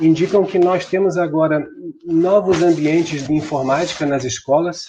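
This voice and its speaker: A man talks fairly slowly, with ordinary pitch variation, while noticeable background noise persists. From Brazil. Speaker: computer science professor. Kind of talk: online conference talk. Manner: frequent filler hesitations.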